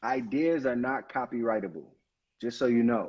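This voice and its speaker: A man's voice in a Brooklyn accent, fairly quick in pace and medium in pitch, with ordinary pitch variation. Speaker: attorney. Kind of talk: live stream Q&A on legal topics.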